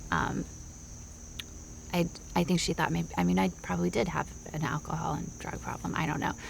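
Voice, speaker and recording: The speaker talks at a fairly quick pace. Long pauses come often. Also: woman. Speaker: psychotherapy interviewee. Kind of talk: clinical interview. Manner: halting.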